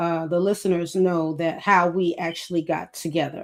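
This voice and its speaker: In a Brooklyn accent, a woman speaks at a fairly slow pace with a fairly low pitch. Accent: Brooklyn New York. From Brooklyn, New York. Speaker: author and former prison caseworker. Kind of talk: podcast interview.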